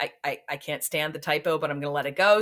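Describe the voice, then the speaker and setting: A woman's very deep, low voice at a fairly quick pace. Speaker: teacher. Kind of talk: lecture. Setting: recorded instructional video. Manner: monotone.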